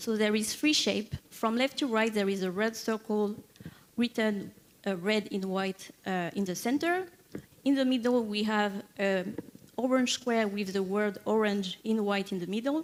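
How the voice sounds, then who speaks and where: The speaker has a French accent. The delivery comes at a fairly slow pace. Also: woman, fairly high pitch for a woman, ordinary pitch variation. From France, Paris. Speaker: software engineer, conference keynote speaker. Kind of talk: conference keynote talk. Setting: stage with audience. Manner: hesitant, many fillers.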